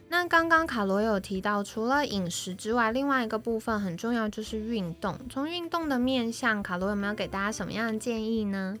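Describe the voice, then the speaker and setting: This woman has a fairly high pitch and lively intonation. She talks at a fairly quick pace with hardly any pauses. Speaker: health manager podcast host. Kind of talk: casual chat. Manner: animated.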